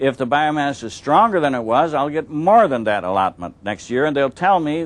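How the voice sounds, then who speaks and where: An ordinary speaking voice from a man, fairly high in pitch. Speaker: storyteller and fisherman. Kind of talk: storytelling talk to visitors.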